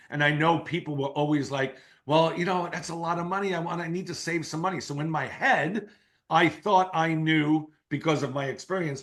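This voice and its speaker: A man with a fairly high pitch speaks at a moderate pace. His tone is animated, with ordinary pitch variation. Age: 60s. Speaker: keynote speaker and marketing entrepreneur. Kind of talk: podcast interview.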